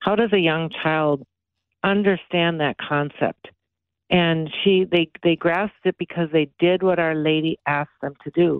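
A woman speaks in a normal speaking voice, pitched fairly low. Her pace is fairly slow and her intonation fairly even. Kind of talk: radio interview. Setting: phone call.

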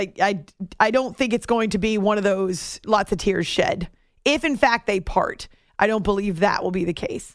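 Moderate tempo and medium pitch in a plain, everyday voice from a female speaker, with ordinary pitch variation. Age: adult. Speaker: sports radio host. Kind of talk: sports talk radio.

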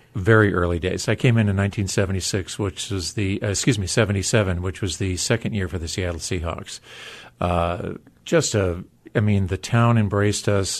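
Over a quiet background, a man talks at a fairly quick pace in a fairly low pitch with ordinary pitch variation and an ordinary speaking voice. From US, military family (moved around). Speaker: former pro football player. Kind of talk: interview.

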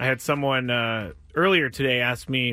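In a bright, sharp and animated tone, a man speaks on a very clean recording with a silent background. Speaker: sports radio host. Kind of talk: live sports talk radio patter, rapid-fire riffing on local teams and news. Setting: radio studio, also streamed on video. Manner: conversational.

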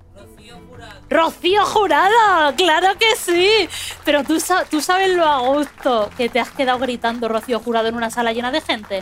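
The voice makes very wide pitch swings and big jumps in loudness, with noticeable background noise behind it. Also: woman, high pitch for a woman, moderate pace. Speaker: podcast host. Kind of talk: live podcast show before an audience. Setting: stage with audience.

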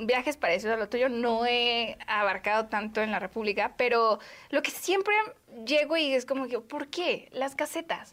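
A woman talks at a fairly slow pace in a high voice. Her intonation is lively. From Mexico, Guadalajara. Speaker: podcast host. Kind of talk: casual interview.

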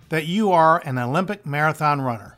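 With music in the background, a man speaks at a fairly high pitch. His intonation is lively. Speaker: radio host and retirement planner. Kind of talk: infomercial sales pitch. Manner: urgent, pushy call-to-action delivery; rehearsed, salesy, emphatic.

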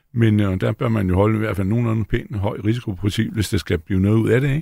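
A man's normal speaking voice at a fairly low pitch, on a very clean recording with a silent background. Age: 60s. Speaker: stock analyst. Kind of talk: panel discussion. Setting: studio.

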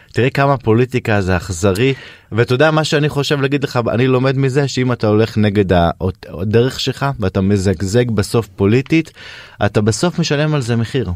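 A man with a plain, everyday voice, medium pitch, ordinary pitch variation, very even loudness, and a moderate pace. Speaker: radio host. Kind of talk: casual chat. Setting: studio.

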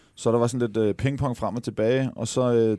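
A man talks at a fairly quick pace with fairly even intonation. His tone is dark and mellow. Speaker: TV host and former footballer. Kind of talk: casual chat. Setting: studio.

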